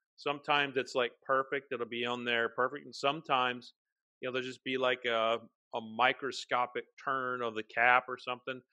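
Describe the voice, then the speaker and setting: A fairly quick man's voice with an American accent and monotone, flat intonation. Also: medium pitch for a man. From Oklahoma. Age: 40s. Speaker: whiskey writer and podcast host. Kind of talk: casual chat.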